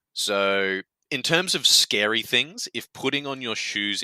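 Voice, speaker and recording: Someone with an Australian accent talks with lively intonation. The sound is dry and close with no echo, and music plays in the background. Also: man. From Australia, Queensland. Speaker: game community guest on developer podcast. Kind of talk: casual interview chat. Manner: animated, some stammering.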